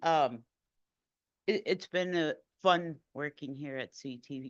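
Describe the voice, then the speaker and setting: A woman with a New York accent speaks with ordinary pitch variation. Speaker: transit supervisor. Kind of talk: acceptance remarks. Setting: board meeting room.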